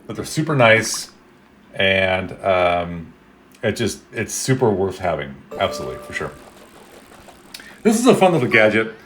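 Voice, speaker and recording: The speaker, with an American accent, moves at a moderate pace with long, frequent pauses, very wide pitch swings and big swings in loudness over noticeable background noise. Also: man, fairly low pitch for a man. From Chicago suburbs, Illinois. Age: 40s. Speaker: gaming streamer. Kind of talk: casual live stream chat. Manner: dramatic, screams a lot.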